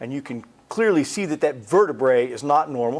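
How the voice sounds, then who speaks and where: A man with an American accent has an unremarkable speaking voice and lively intonation. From United States. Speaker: cancer researcher. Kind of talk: lecture. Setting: presentation to a support group.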